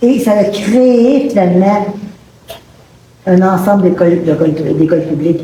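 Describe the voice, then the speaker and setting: A woman in a Quebec accent at a medium pitch, fairly slow pace and ordinary pitch variation, with audible room echo and noticeable background noise. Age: 70s. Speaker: audience member asking a question. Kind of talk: public debate question. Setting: public event with audience, no microphones.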